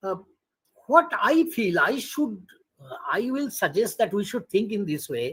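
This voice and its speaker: This man talks at a fairly slow pace in a high voice, his pitch swinging very widely. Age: 60s. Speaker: retired political science professor. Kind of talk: academic webinar Q&A. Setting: video call.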